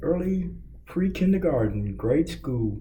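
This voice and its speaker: A man talks with a Kentucky accent. Room echo is audible. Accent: US South, Kentucky. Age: 60s. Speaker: record store owner. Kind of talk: interview. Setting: empty hallway.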